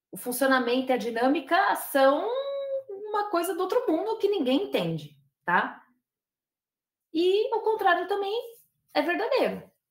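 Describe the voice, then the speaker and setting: A woman speaks at a fairly slow pace in an extremely high pitch with very wide pitch swings. Long, frequent pauses stand out against audible room echo. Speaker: professor and lobbying expert. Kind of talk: lecture.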